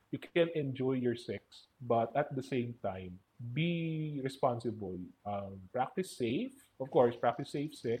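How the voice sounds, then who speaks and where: His voice comes across somewhat breathy. The man delivers his words fairly slowly, with ordinary pitch variation. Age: 20s. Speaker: podcast guest. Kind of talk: casual chat.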